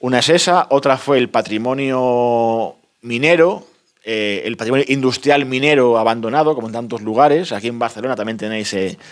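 A man speaks at a moderate pace and a medium pitch, with ordinary pitch variation, a plain, everyday voice, and a quiet background. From Spain, León province (El Bierzo area); León province, Spain. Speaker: author, rural postman. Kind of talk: book presentation talk. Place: meeting room.

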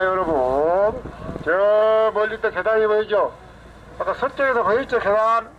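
A man's high-pitched voice with a Jeolla accent, fairly slow, over noticeable background noise. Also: long, frequent pauses. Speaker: tour boat captain. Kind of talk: tour guide commentary. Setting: outdoors, on a boat.

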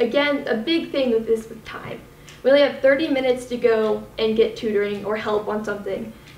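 A woman talks at a moderate pace with ordinary pitch variation, and audible room echo surrounds her voice. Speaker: presenter. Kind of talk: class presentation. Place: classroom. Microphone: camera far.

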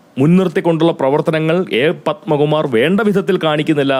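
A man speaks in a plain, everyday voice. His pitch sits fairly high. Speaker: political commentator. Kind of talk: political commentary monologue.

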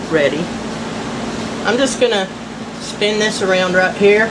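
Noticeable background noise runs through the clip. A woman is the one talking. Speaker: home crafter. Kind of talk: casual DIY tutorial to camera. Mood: relaxed, folksy. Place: workshop. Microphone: phone near.

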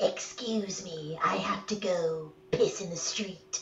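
A put-on character voice at a middle pitch, a fairly slow pace, over clear background noise. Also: female-sounding voice. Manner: mocking imitation.

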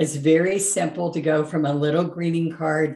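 Audible room echo surrounds a woman with a very deep, low pitch who talks at a moderate pace. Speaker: painting instructor. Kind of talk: channel intro talk to viewers. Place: home room.

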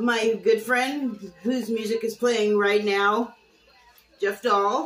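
A woman talks very slowly. Behind her, music plays. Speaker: TV critic vlogger. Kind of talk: casual vlog chat. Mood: cheerful, nostalgic. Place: home room. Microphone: webcam.

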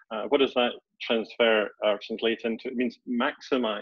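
A man with a Scottish accent, medium pitch, moderate pace, dry sound with no echo and a quiet background. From Scotland, Edinburgh. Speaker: executive coach. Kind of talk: webinar presentation. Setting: video call. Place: home room. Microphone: webcam.

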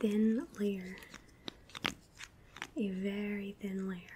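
The speaker is soft-spoken and talks at a fairly slow pace. Light background noise can be heard. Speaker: beauty content creator. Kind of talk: casual tutorial chat. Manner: soft-spoken ASMR voice, hushed.

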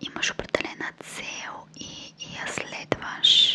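Loud background noise beneath a woman's voice. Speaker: video creator. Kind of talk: motivational talk, soft casual. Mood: calm, reflective, gentle. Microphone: studio mic.

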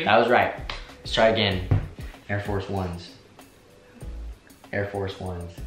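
Long, frequent pauses break up the speech, with audible room echo and clear music in the background. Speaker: vlogger. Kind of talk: casual talk to camera. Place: home room.

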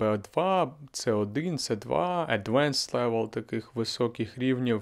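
A man's very slow speech over a quiet background. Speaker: language teacher and podcaster; language teacher vlogger. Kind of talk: casual vlog monologue. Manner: slightly monotone. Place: home room. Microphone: handheld.

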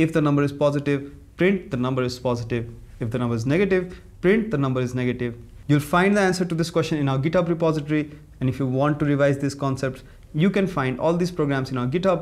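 A man speaks at a very fast pace. His pitch variation is ordinary. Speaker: presenter. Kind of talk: tutorial. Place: studio.

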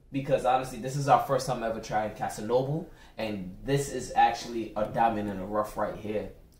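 Room echo is audible throughout. The man talking keeps a moderate pace. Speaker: tasting show co-host. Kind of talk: casual review chat. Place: kitchen.

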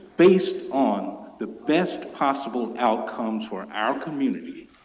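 Audible room echo follows a man as he speaks at a fairly slow pace. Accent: Memphis. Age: 60s. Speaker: public commenter. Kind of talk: public comment at council meeting. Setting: city council chamber.

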